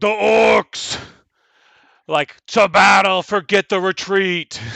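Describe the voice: This man uses a put-on character voice with a high pitch. He speaks at a very slow pace.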